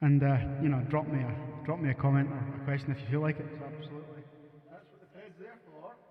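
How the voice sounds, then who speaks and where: A man with a strong Scottish accent talks very fast at a fairly high pitch, his intonation fairly even. His loudness swings widely, with audible room echo and noticeable background noise. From Scotland. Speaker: musician live-streaming. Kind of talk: casual live stream chat.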